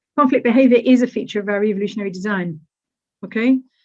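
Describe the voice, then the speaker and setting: Somewhat breathy and fairly high in pitch, a woman speaks very fast with ordinary pitch variation. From Britain. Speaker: university academic. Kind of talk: conference lecture. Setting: webinar. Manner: animated, conversational with rhetorical questions.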